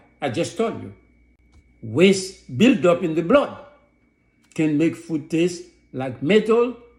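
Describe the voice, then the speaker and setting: Speaking at a very slow pace with lively intonation, a man is heard with audible room echo. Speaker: holistic health practitioner, talk show host. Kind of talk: health talk show lecture.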